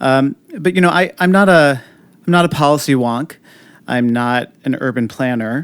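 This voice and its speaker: Here a man talks at a moderate pace. His pitch is fairly high, with ordinary pitch variation. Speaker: TV producer and streets activist. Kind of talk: casual interview. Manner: energetic.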